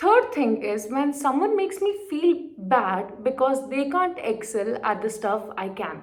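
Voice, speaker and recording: Her pitch high and swinging very widely, a woman speaks with an Indian accent. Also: fairly slow pace, hardly any pauses. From India, Marwari-speaking region. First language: Marwari. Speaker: poetry vlogger. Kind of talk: casual vlog monologue. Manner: animated.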